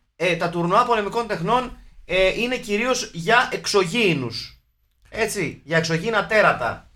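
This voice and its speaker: A raised, projected voice with a bright, sharp tone moves at a fairly slow pace with ordinary pitch variation. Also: man, high pitch for a man. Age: 40s. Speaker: film podcast host. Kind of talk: casual chat.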